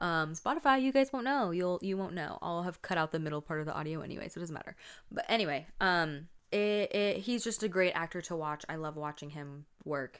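Intonation is lively and the pace fairly quick. The background stays quiet. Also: woman, fairly low pitch for a woman. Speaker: video podcaster. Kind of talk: casual solo chat reviewing a K-drama. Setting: home recording on camera. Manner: fast talker; frazzled, chatty. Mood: warm, enthusiastic. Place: home room. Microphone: studio mic.

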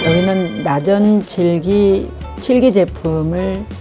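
Faint music plays behind a woman with a very deep, low pitch. Her voice moves in very wide pitch swings. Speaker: market merchant, woodcraft shop owner. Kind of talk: interview answer, shop promotion to camera. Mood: warm, grateful. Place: shop. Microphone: lapel.

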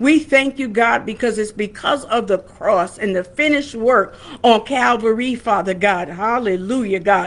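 Her pitch shows ordinary variation. This woman talks at a fairly slow pace. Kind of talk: sermon and prayer. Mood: calm, devotional. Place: home room. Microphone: webcam.

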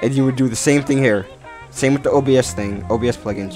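A man's pitch varies in an ordinary way as music plays behind him. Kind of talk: casual screen-recorded software tutorial. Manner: stuttering, halting.

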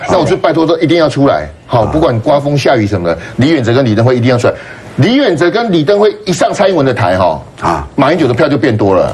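A man at a fairly high pitch, very wide pitch swings, very even loudness and a very fast pace, over light background noise. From Taiwan. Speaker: political commentator. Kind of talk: political talk show discussion. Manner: stammering repetitions. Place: studio. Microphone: lapel.

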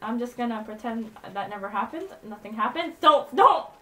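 A moderate pace and lively intonation over noticeable background noise. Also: woman. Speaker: gaming live streamer. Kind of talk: live gameplay commentary. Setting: online live stream with game voice chat. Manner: animated, excitable.

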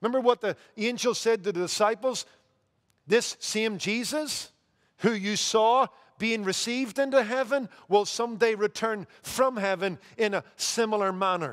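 Against a quiet background, a man with a Northern Irish accent talks at a moderate pace in a high pitch with ordinary pitch variation. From Northern Ireland. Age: 50s. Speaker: pastor. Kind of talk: sermon. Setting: church. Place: church. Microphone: headset.

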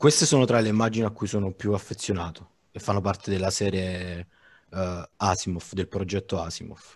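Against a quiet background, a man with fairly low pitch speaks in an ordinary speaking voice at a fairly quick pace with fairly even intonation. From Naples, Italy; Italy. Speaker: digital artist; guest. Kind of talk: informal panel discussion. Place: home room. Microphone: headset.

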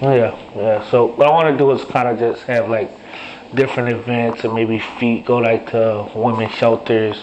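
A man talks at a moderate pace, his intonation fairly even, with light noise behind him. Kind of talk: casual phone conversation. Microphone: phone line.

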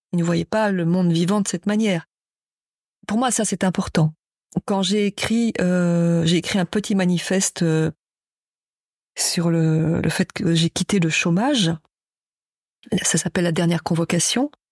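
Speaking at a fairly slow pace with long, frequent pauses, a woman uses a fairly low pitch, fairly even intonation and very even loudness in a dry, close sound with no echo. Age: 60s. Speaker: writer and poet. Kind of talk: interview. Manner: halting.

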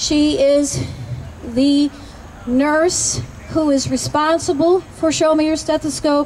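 High female voice at a very slow pace, monotone and flat, with music in the background. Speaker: rally emcee, nurses association president. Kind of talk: rally emcee introductions.

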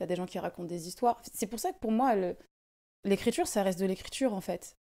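Against a quiet background, a woman speaks at a moderate pace in a dark, mellow tone. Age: 20s. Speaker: singer; podcast guest. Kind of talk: casual chat. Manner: hesitant, many fillers. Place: home room. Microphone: studio mic.

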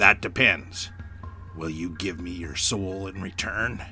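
Over clear background noise, a man puts on a character voice that is raspy and very deep, speaking at a fairly slow pace. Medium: read story. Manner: smooth, coaxing, ominous.

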